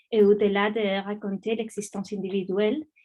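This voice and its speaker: A woman with a non-native accent speaks at a moderate pace in a fairly high, somewhat breathy voice. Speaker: academic researcher. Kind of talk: lecture; reading aloud. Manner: halting, many hesitations.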